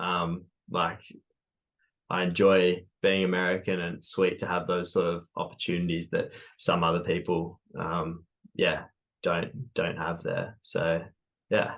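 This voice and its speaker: With long, frequent pauses at a fairly slow pace, a man speaks in a very deep, low pitch and monotone, flat intonation. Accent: Australian. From Australia, Sydney Hills district. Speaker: runner, running shoe store worker, ex-engineer. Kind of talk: podcast interview.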